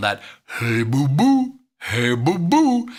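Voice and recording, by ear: Someone uses a put-on character voice pitched in the low-to-middle range.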